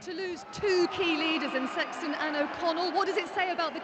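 Against noticeable background noise, a woman speaks at an extremely high pitch with ordinary pitch variation. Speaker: pitchside interviewer. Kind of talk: post-match interview questions.

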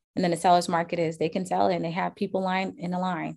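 With an American accent, a woman speaks at a fairly low pitch with vocal fry. The recording is very clean, with a silent background. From Charleston, South Carolina. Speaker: real estate agent. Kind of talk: interview.

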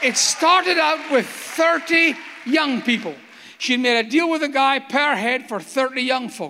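Over noticeable background noise, a man with an American accent speaks fairly slowly at an extremely high pitch with ordinary pitch variation. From Scotland. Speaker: evangelist and pastor. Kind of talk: sermon. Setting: church platform with congregation.

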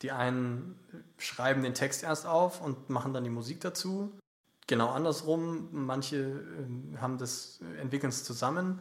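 A man with an ordinary speaking voice, medium pitch, ordinary pitch variation and a fairly slow pace. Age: 20s. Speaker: singer-songwriter. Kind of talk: casual interview. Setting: podcast studio.

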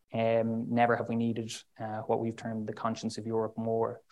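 This man talks in a monotone, flat intonation with an Irish accent. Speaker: diplomat. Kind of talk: speech.

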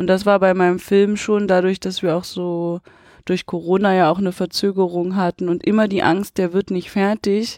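With fairly even intonation, a woman with an unremarkable speaking voice talks at a medium pitch in a dry, close sound with no echo. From Potsdam, eastern Germany. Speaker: film director. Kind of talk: interview. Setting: cinema.

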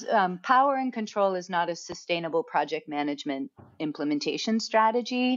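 A woman with an American accent, fairly quick pace, medium pitch and very wide pitch swings. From United States. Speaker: software architecture consultant and author. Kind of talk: casual interview.

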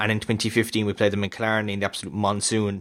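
The speaker has a Kerry accent. The pace is very fast. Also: man. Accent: Kerry Irish. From Ireland, County Kerry. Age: 20s. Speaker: sports podcast host. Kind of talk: casual sports chat. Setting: recording over Skype. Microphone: better mic, records locally.

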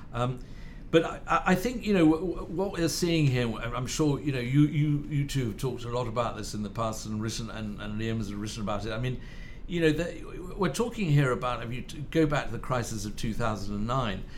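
A man with a British accent talks with lively intonation. Audible room echo and noticeable background noise are present. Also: medium pitch for a man, moderate pace. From Spain and Britain, born in Madrid. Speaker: journalist and author. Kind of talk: casual chat. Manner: halting, many repeated words.

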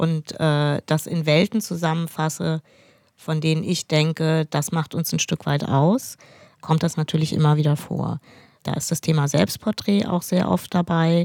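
A woman speaks with a very deep, low pitch and fairly even intonation. Her pace is fairly slow, and the sound is dry and close with no echo. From Hesse, near Frankfurt. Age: 50s. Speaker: painter and illustrator. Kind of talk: interview conversation.

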